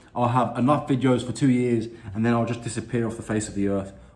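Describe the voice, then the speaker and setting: Audible room echo surrounds a man whose intonation is fairly even. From London, England. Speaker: YouTube reactor. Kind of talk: casual video intro.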